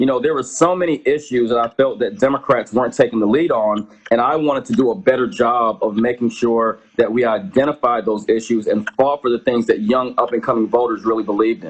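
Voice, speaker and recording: A man with an American accent and an ordinary speaking voice talks at a fairly quick pace and medium pitch, with ordinary pitch variation and hardly any pauses. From Georgia, US. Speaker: political candidate and advocate. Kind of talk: interview. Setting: live stream.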